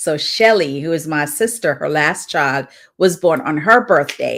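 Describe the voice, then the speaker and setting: The recording is very clean, with a silent background. A woman speaks at a fairly slow pace and fairly low pitch, her intonation lively. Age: 60s. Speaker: devotional livestream host and author. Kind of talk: devotional livestream talk.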